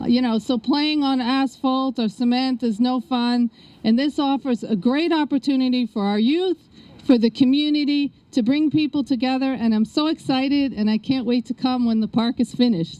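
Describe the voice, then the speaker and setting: A woman at a moderate pace with a strong New York accent, dark and mellow in tone, high-pitched, with ordinary pitch variation and a dry, close sound free of echo. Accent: New York accent, still strong. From New York City (South Bronx, Queens). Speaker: state politician. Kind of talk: ceremony speech.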